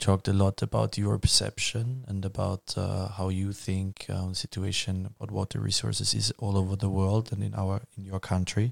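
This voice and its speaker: A man talks with a German accent in a somewhat breathy voice and monotone, flat intonation. The sound is dry and close, with no echo. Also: fairly low pitch for a man, moderate pace, very clean recording, silent background. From Vienna, Austria. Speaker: student podcast host. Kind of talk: interview moderation.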